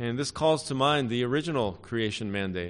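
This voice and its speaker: At a moderate pace, a man talks in a normal speaking voice at medium pitch. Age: 50s. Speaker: pastor. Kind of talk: sermon. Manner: frequent filler words.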